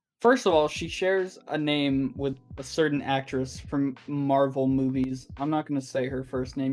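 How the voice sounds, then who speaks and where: A man talking with hardly any pauses, music in the background. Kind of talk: casual podcast conversation.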